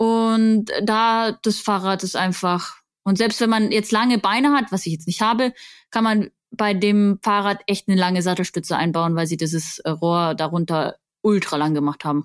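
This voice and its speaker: On a very clean recording with a silent background, a woman with an unremarkable speaking voice talks at a moderate pace, medium pitch and ordinary pitch variation. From Bavaria, Augsburg. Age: 20s. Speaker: mountain bike coach and influencer. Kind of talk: casual interview.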